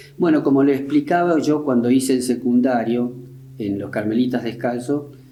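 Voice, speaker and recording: Speaking at a moderate pace and medium pitch, a man keeps a fairly even intonation in audible room echo. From Argentina, Río Tercero (Córdoba). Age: 70s. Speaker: war veteran. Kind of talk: interview. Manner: halting.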